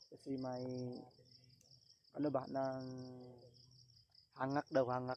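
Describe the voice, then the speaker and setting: At a fairly slow pace, a man talks with medium pitch and monotone, flat intonation. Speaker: ghost hunting vlogger. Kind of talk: casual vlog narration. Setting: outdoors on a mountain at night. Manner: halting, many fillers; loud.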